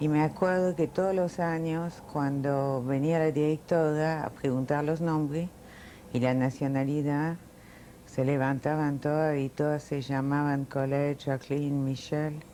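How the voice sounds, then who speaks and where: A woman's very deep, low voice, dark and mellow in tone, at a fairly slow pace, with monotone, flat intonation and very even loudness. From France (Paris), born in Milan. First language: Italian, then French (speaking Spanish). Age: 60s. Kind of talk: oral history interview.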